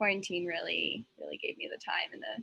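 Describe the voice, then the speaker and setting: Her accent is American. She talks at a fairly quick pace. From Texas, Dallas. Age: 20s. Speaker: social entrepreneur. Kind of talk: interview.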